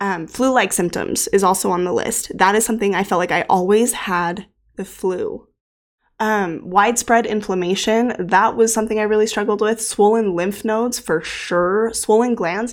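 A woman with a fairly high pitch and a plain, everyday voice talks at a moderate pace with fairly even intonation on a very clean recording with a silent background. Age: 30s. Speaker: podcast host. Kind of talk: solo podcast monologue.

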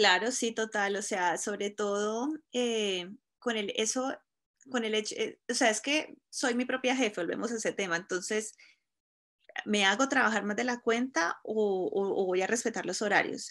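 A woman talks in a normal speaking voice at a fairly high pitch. Her pace is fairly slow, with ordinary pitch variation. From Colombia, Cúcuta. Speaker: fashion blogger. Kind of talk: interview.

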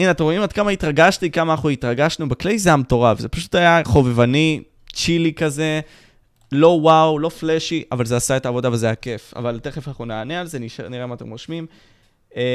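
Over a silent background in a very clean recording, a man with a fairly high pitch talks at a fairly quick pace in an animated tone, with ordinary pitch variation and big swings in loudness. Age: young. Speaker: youtuber and podcast host. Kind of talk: live stream Q&A.

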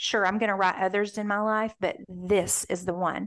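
Against a quiet background, a woman uses a plain, everyday voice at medium pitch, keeping a moderate pace and fairly even intonation. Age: 50s. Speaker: author. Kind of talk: interview.

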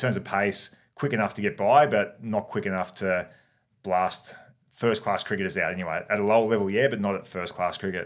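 A man with an Australian accent, fairly low pitch, ordinary pitch variation and a fairly quick pace. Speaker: former cricketer. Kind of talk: interview.

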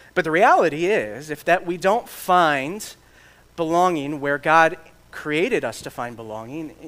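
Using an ordinary speaking voice with an American accent, a man with a fairly high pitch talks at a moderate pace. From Michigan. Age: 30s. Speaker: pastor and church planter. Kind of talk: sermon.

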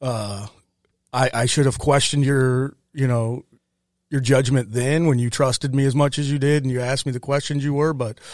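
A man with a Midwestern American accent talks at a fairly quick pace in a fairly high voice. His intonation stays fairly even, and the recording is very clean with a silent background. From US Midwest, St. Louis area (Ferguson, Missouri). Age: 30s. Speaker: war veteran. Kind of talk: casual interview.

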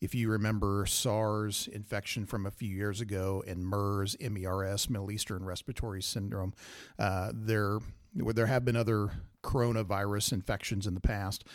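In a very clean recording with a silent background, a man with an American accent speaks at a moderate pace in a fairly low pitch, his intonation monotone and flat. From Kansas. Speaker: emergency physician. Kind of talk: casual chat.

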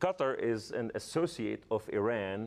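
This man has a fairly low pitch and an Arabic accent, recorded against a quiet background. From Lebanon. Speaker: former militant turned evangelist. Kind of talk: testimony. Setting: studio. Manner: halting.

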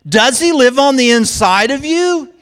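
His intonation is lively as this man talks. He goes at a very slow pace. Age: 50s. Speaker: guest preacher. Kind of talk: sermon.

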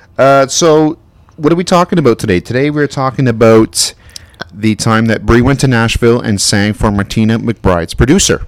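Here a man with an ordinary speaking voice talks at a moderate pace and medium pitch, his intonation lively. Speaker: co-host. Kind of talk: casual banter.

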